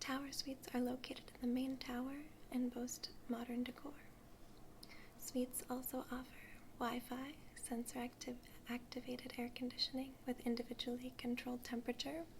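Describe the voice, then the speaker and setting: A soft-spoken woman whispers at a moderate pace. Noticeable background noise sits behind her. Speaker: ASMR artist doing a travel agent role play. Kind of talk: ASMR role play, customer service talk. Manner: soft-spoken, whispery.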